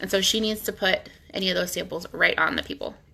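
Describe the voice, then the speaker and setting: With vocal fry and a bright, sharp tone, a woman speaks at a fairly quick pace. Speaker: nail polish sales stylist. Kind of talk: tutorial. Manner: fast; casual with many fillers.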